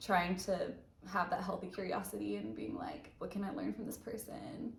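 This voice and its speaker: There is audible room echo as a woman with an American accent talks at a moderate pace. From US South, Alabama. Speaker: ER nurse, channel co-host. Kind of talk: casual chat.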